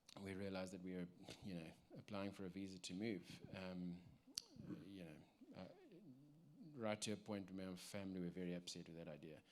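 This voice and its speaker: A man's very deep, low voice with a South African accent, at a moderate pace and with ordinary pitch variation. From South Africa, Cape Town. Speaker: church member giving testimony. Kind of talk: testimony. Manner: halting, many fillers.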